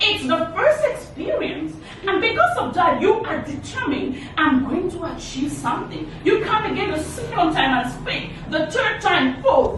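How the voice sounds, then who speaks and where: A woman speaks at an extremely high pitch with very wide pitch swings, at a fairly slow pace and with hardly any pauses. The room echo is audible, and the background noise is noticeable. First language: not English. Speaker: motivational speaker. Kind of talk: motivational talk.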